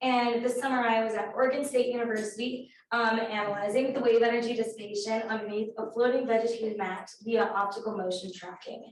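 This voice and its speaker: A woman speaks fairly quickly at a fairly high pitch, her intonation monotone and flat. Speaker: undergraduate research intern. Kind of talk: research presentation. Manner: hesitant, many fillers.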